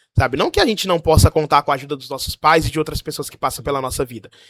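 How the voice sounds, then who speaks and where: A man speaks in a fairly high pitch with ordinary pitch variation. The sound is dry and close, with no echo. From Brazil. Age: 20s. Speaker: pastor living abroad. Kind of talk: casual chat, testimony.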